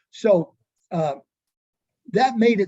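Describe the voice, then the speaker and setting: Speaking with an American accent, the voice has a dark, mellow tone and lively intonation in a dry, close sound with no echo. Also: man. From Southern Illinois, rural. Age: 70s. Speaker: author and professor. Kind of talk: interview, casual storytelling. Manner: halting, many repeated words and fillers.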